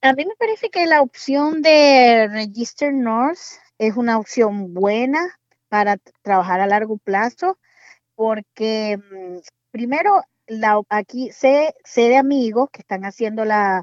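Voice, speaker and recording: Recorded dry and close with no echo, a woman with fairly high pitch speaks at a very slow pace, her lively intonation paired with big swings in loudness. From Venezuela, Maracaibo. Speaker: pediatrician working as medical assistant. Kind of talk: casual interview.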